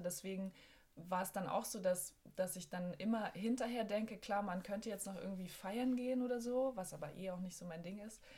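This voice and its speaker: A somewhat breathy woman's voice at medium pitch, with fairly even intonation and a moderate pace. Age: 30s. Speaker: musician and songwriter. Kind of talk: casual chat.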